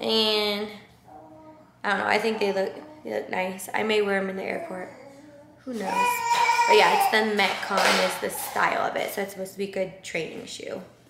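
A woman with long, frequent pauses over loud background noise. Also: moderate pace. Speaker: vlogger. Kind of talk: casual vlog chat. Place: home room. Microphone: camera far.

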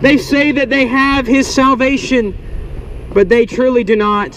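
A man talks at a fairly slow pace. There is light background noise. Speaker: street preacher. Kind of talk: open-air sermon. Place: street. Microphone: phone near.

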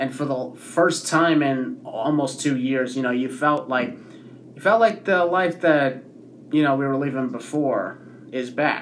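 A man's fairly high voice at a fairly slow pace, with ordinary pitch variation over light background noise. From Canada. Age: 20s. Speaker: YouTuber. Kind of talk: vlog. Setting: hotel room. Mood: reflective, upbeat. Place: home room. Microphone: webcam.

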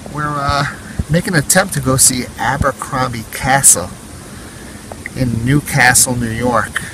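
Noticeable background noise runs under a man speaking at a moderate pace with ordinary pitch variation. The sound is dry with no echo. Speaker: explorer vlogger. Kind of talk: casual vlog chat. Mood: cautious, hushed excitement. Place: forest. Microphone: phone near.

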